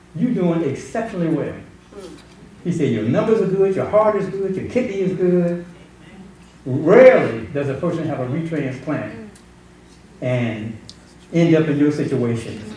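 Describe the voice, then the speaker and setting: A man with a fairly high pitch talks at a moderate pace, his pitch swinging very widely. Long, frequent pauses break up his speech amid audible room echo and noticeable background noise. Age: 60s. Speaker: pastor. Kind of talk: testimony.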